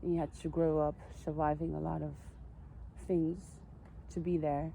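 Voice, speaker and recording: In a Dutch accent, a woman speaks at a moderate pace. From Netherlands. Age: 40s. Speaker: vlogger. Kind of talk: personal monologue vlog. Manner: halting.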